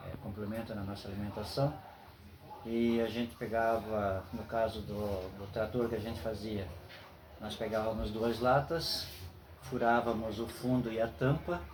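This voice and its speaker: Audible room echo surrounds a man's voice. He talks at a medium pitch and a fairly slow pace. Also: ordinary pitch variation. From southern Brazil, Joinville (Santa Catarina). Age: 60s. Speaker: grandfather interviewed by grandson. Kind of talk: interview. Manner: hesitant, many fillers.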